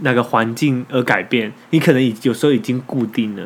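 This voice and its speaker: Over noticeable background noise, a man with a Taiwanese accent speaks at a moderate pace with ordinary pitch variation. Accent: Taiwanese Mandarin. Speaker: podcast co-host. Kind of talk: casual chat.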